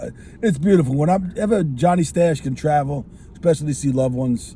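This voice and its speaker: At a very fast pace, a man with a fairly high pitch and a dark, mellow, somewhat breathy tone speaks with ordinary pitch variation. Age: 60s. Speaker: cigar show host. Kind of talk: casual chat. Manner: energetic.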